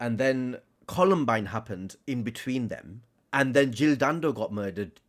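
A man talks in a Lancashire accent. His intonation is lively. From northern England, Blackburn, Lancashire. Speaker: author. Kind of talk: casual chat.

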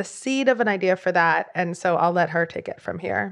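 A normal speaking voice moves at a moderate pace with ordinary pitch variation. The background is quiet. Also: woman. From Philadelphia. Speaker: journalist, author and podcaster. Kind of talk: interview conversation. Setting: video call.

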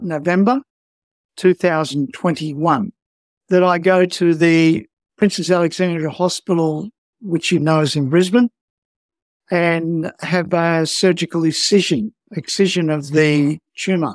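At a fairly slow pace, a man with an Australian accent speaks in a high pitch with ordinary pitch variation, recorded dry and close with no echo. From rural Australia. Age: 70s. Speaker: skin cancer patient. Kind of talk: personal interview testimony. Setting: remote call from home office.

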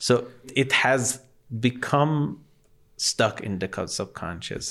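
A man with a Persian accent speaks at fairly low pitch in a bright, sharp tone. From Iran, Tehran. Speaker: digital artist. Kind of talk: casual chat.

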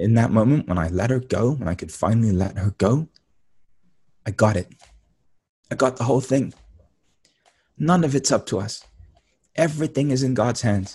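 Speaking in a London accent at a moderate pace, a man has a medium pitch, a dark, mellow tone, a calm tone and a somewhat breathy quality. His intonation is lively, broken by long, frequent pauses. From East London, England. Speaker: spiritual teacher and author. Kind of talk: interview.

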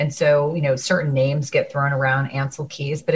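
A woman with an American accent, somewhat breathy and very deep, low in pitch, at a moderate pace. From US Northeast (New Jersey). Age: 40s. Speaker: podcast host, nurse practitioner. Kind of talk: interview podcast.

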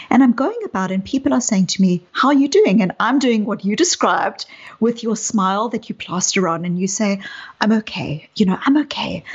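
Speaking fairly quickly with lively intonation, a woman with a South African accent has a somewhat breathy, fairly high-pitched voice. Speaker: psychologist. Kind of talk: interview conversation.

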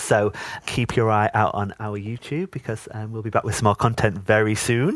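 The sound is dry and close, with no echo. A man with a North East England accent speaks at a medium pitch. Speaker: podcast guest, fan of the show. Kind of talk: casual chat. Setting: video call, remote recording.

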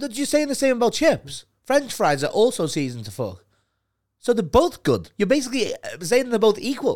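In a very clean recording with a silent background, a man with a Liverpool accent speaks at a moderate pace in an animated tone. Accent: Scouse (Liverpool). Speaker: podcast co-host. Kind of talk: casual banter between co-hosts. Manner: animated, swears a lot.

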